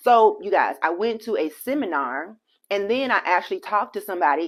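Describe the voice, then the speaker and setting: A woman talks at a fairly quick pace with ordinary pitch variation in a very clean recording with a silent background. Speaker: real estate entrepreneur and social media creator. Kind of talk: casual vlog monologue. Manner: fast.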